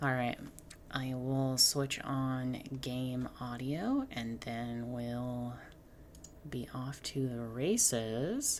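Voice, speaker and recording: Soft-spoken and monotone, a woman talks very slowly at a very deep, low pitch with flat intonation. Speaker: game streamer. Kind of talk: live gameplay commentary. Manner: halting, many fillers.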